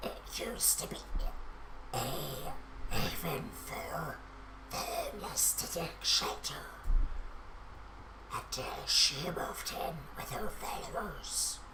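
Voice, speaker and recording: Over loud background noise, someone uses a put-on character voice at a fairly slow pace, with long, frequent pauses. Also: man. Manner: gruff, forced.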